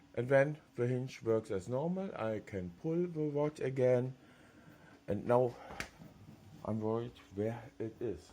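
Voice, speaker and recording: With a German accent, a man speaks very slowly in a dark, mellow tone at medium pitch, leaving long, frequent pauses. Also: lively intonation. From Germany. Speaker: 3D printing hobbyist YouTuber. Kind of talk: tutorial. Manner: halting.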